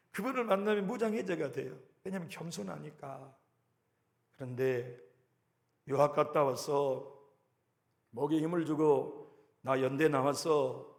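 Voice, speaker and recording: A man's fairly high voice with lively intonation, at a fairly slow pace and with audible room echo. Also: long, frequent pauses, big swings in loudness. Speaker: pastor. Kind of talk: sermon.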